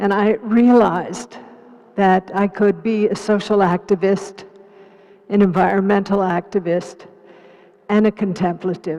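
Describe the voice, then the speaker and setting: A woman speaks at a medium pitch in a flat monotone, fairly slowly. Her speech has long, frequent pauses over noticeable background noise. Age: 80s+. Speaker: Buddhist teacher and activist. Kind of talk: panel discussion.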